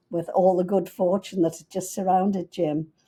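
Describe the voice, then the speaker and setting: A woman with a Liverpool accent, dark and mellow in tone, medium-pitched, at a moderate pace, on a very clean recording with a silent background. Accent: Liverpool English (Scouse), long lived in US. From Liverpool, England. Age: 90s. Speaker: businesswoman, family matriarch. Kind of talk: interview storytelling.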